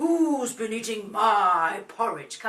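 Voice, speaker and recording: The voice is a put-on character voice at a fairly high pitch. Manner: demanding.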